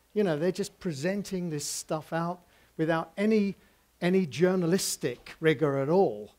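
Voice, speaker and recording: Here a man with a high pitch talks at a moderate pace with ordinary pitch variation. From England. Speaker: visual communication professor. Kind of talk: public talk. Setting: stage with audience. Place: cafe.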